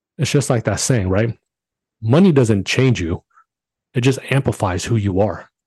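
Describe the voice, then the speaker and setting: A man with a dark, mellow tone and a somewhat breathy voice talks at a moderate pace with long, frequent pauses, recorded dry and close with no echo against a quiet background. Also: medium pitch for a man, ordinary pitch variation. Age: 40s. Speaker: podcast host. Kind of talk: solo motivational monologue. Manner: animated.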